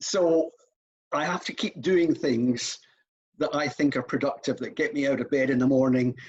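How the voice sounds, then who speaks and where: This man talks at a moderate pace with a fairly high pitch. He speaks with a Glasgow accent. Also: ordinary pitch variation. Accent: Scottish (Glasgow). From Scotland, Glasgow. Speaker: careers consultant. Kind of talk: interview.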